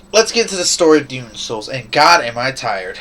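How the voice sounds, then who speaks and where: There is noticeable background noise as a man talks at a very fast pace. His pitch swings very widely. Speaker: gaming video reviewer. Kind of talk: casual game review monologue.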